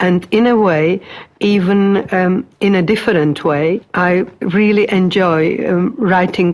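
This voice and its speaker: A woman of medium pitch speaks at a very slow pace with fairly even intonation over noticeable background noise. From Czechoslovakia. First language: Czech. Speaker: migrant interviewee, retired teacher. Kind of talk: oral history interview. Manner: halting.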